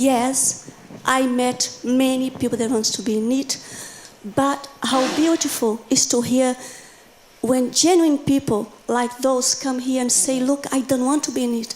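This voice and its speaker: Over noticeable background noise, a woman with a non-native accent and a high pitch talks at a fairly slow pace in a monotone, flat intonation. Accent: foreign. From Brazil. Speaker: teacher. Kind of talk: audience comment at conference. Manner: halting.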